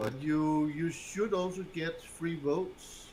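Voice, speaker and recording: A man talks at a very slow pace. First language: not English. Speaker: game master. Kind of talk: casual chat. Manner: halting.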